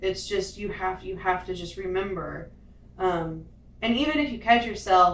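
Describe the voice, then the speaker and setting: A woman speaks at a medium pitch and a fairly slow pace, with ordinary pitch variation. Noticeable background noise and audible room echo surround her voice. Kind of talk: casual chat.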